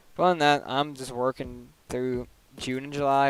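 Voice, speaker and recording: A man at a medium pitch, with fairly even intonation and a moderate pace. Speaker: gaming streamer. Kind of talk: casual live stream chat while playing. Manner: casual, filler-heavy.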